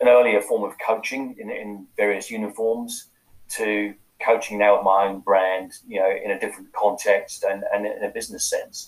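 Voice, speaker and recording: A man with an English accent at a moderate pace. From UK. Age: 50s. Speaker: life coach and former police officer. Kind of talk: podcast interview.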